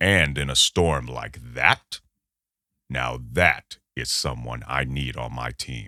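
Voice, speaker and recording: A put-on character voice is used. Delivery is very slow. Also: man, very deep, low pitch for a man. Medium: audio drama. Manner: polite on the surface, menacing underneath.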